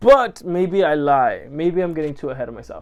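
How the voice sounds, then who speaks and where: Music plays in the background behind a speaker with a Spanish accent. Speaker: film vlogger. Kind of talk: casual chat. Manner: animated.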